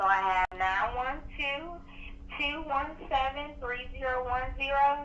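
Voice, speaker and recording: A woman's lively intonation over noticeable background noise and audible room echo. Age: 20s. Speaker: telemarketer. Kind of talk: sales pitch. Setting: phone call. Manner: friendly and polite.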